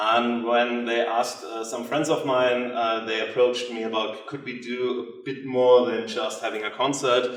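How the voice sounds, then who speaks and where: A man with a non-native accent and a medium pitch talks at a moderate pace with hardly any pauses and monotone, flat intonation, amid audible room echo and noticeable background noise. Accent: non-native English speaker. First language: German. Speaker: theatre director. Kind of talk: lecture. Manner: halting, many fillers.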